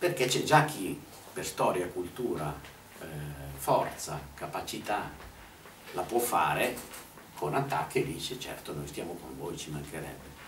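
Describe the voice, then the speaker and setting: Delivery is fairly slow, with long, frequent pauses, big swings in loudness and very wide pitch swings. Light background noise and audible room echo are present. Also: man, very deep, low pitch for a man. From Italy. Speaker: activist speaker; speaker. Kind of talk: talk at a public meeting. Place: meeting room. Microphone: camera far.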